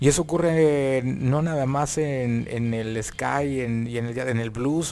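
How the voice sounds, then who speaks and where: A man's plain, everyday voice at a medium pitch, with ordinary pitch variation. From Monterrey, northern Mexico. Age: 40s. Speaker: rock keyboardist and composer. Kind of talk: casual interview chat.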